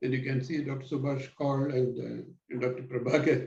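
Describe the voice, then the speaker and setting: A man's medium-pitched voice, dark and mellow in tone and somewhat breathy. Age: 70s. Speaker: neurologist. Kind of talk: interview. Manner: halting.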